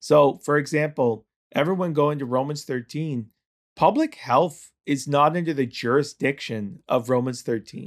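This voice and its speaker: A man with a Canadian accent and an unremarkable speaking voice talks at a fairly slow pace, his pitch fairly high with ordinary variation. The recording is very clean, with a silent background. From Ontario, Canada. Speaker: pastor. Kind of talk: interview conversation. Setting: studio.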